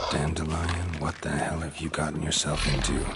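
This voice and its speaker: Against loud background noise, a man does a cartoonish character voice pitched very deep and low, at a moderate pace. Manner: flat, deadpan, terse.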